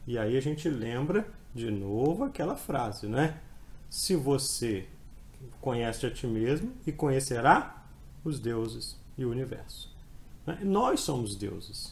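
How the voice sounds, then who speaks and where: A man with a medium pitch talks at a very slow pace with long, frequent pauses, lively intonation and a somewhat breathy voice, with audible room echo. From Brazil, Espírito Santo (Colatina). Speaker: law exam prep professor. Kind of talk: podcast interview, explanatory lecture. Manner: halting, frequent repetitions.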